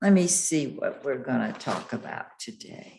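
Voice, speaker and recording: Speaking very slowly, a woman's voice swings very widely in pitch and carries vocal fry, with audible room echo around it. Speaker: astrologer. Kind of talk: monthly astrology forecast talk.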